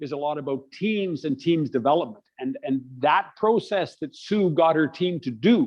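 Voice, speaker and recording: A man speaks with lively intonation at a fairly high pitch. His pace is moderate. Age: 60s. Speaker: author and leadership coach. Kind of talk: interview. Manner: animated.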